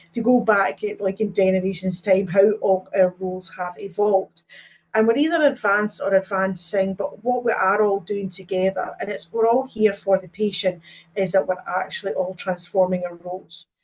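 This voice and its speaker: The speaker is a woman with a moderate pace. She keeps her intonation fairly even. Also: medium pitch for a woman. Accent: Scottish. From Scotland. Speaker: advanced practice nurse lead and lecturer. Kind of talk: webinar presentation.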